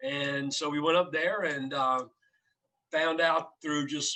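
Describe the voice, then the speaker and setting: Ordinary pitch variation in a bright, sharp tone. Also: man. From South Louisiana, Cajun (Barataria). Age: 60s. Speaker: restaurant founder. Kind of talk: podcast interview.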